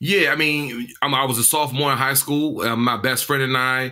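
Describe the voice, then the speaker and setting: Amid audible room echo, a man with medium pitch and a bright, sharp tone talks at a fairly quick pace in a flat monotone. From Washington D.C. area. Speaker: tech startup founder, formerly incarcerated. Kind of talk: interview.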